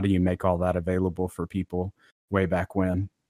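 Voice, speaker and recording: A man speaks at a fairly quick pace in a very deep, low pitch, with a dry, close sound and no echo. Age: 40s. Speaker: retro computing developer. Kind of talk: casual interview chat. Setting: online livestream.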